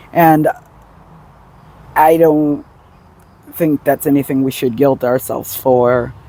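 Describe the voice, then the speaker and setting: Pausing long and often at a very slow pace, a man speaks in a fairly high pitch, his sound dry and close with no echo but with noticeable background noise. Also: fairly even intonation. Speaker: vlogger. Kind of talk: casual vlog monologue. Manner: hesitant, many fillers.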